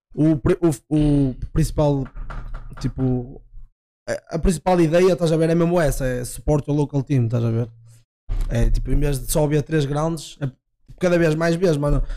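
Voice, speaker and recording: Using a dark, mellow tone at a fairly high pitch, a man speaks at a moderate pace with fairly even intonation and long, frequent pauses. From Portugal, Barcelos. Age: 20s. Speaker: judo athlete. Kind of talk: casual chat.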